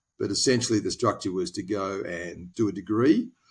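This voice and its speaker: The speaker has an Australian accent and a moderate pace. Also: man. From Australia, Tasmania (Hobart). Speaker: former naval officer turned lawyer. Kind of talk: podcast interview. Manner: hesitant, many fillers.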